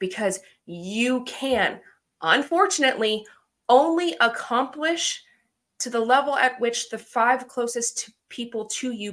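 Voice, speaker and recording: A woman talks in a high pitch with an animated tone. Her pitch varies in an ordinary way. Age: 30s. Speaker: podcast host. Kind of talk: casual motivational monologue.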